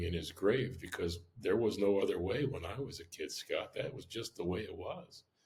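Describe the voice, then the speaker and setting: With an American accent, a man speaks at a moderate pace in a somewhat breathy voice. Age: 60s. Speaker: restaurant owner. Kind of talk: interview. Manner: casual, many fillers.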